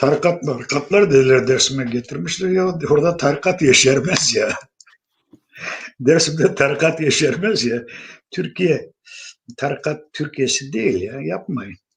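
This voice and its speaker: This man's voice sits fairly high and is somewhat breathy. His intonation is lively. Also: fairly slow pace. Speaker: Alevi spiritual elder (pir). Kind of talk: interview answer.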